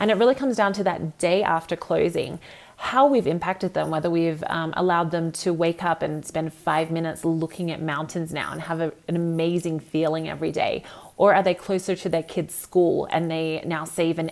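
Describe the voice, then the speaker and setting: At a moderate pace and with hardly any pauses, a woman with an Australian accent speaks at a fairly low pitch with ordinary pitch variation. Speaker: real estate agent. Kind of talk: motivational talk. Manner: animated.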